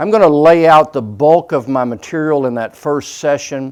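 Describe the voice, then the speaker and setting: A man's fairly high-pitched voice, a normal speaking voice with ordinary pitch variation. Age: 60s. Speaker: preacher. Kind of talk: sermon.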